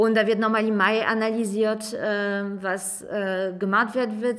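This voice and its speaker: Fairly high in pitch, a woman's voice stays monotone and flat. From France. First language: French (speaking German). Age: 30s. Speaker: city councillor. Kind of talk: casual chat.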